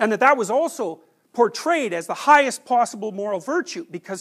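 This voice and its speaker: Against a quiet background, a man is talking. He moves at a fairly quick pace. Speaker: lecturer. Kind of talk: lecture. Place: classroom. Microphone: lapel.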